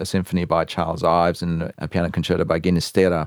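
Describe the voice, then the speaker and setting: A man in an Australian accent talks with a very deep, low pitch. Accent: Australian, unsullied. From Adelaide, Australia. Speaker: violinist and conductor. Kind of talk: casual interview. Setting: radio studio.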